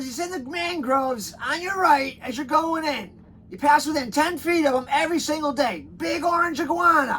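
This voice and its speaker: A man in a gruff, put-on character voice speaks at a moderate pace with an extremely high pitch, hardly pausing, over light background noise. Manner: blunt, scolding.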